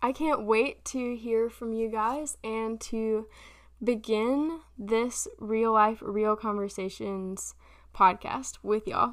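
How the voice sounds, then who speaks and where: The clip is very clean, with a silent background. A woman speaks very slowly and with fairly even intonation. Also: fairly high pitch for a woman. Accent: Southern US. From South Carolina. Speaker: podcast host. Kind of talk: casual monologue.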